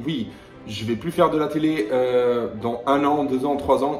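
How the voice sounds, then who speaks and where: Over noticeable background noise and audible room echo, a man with a fairly high pitch talks at a fairly slow pace. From Italy and Netherlands. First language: Italian (speaking French). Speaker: YouTuber, reality TV personality. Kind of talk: heated rant video. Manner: confrontational; hesitant with fillers.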